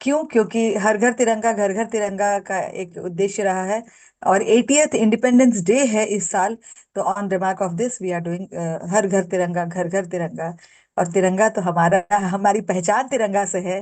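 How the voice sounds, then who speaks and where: This is a woman with a medium pitch. Her pitch varies in an ordinary way. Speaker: entrepreneur, handicraft business founder. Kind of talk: interview testimony. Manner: loud by habit; hesitant with filler sounds.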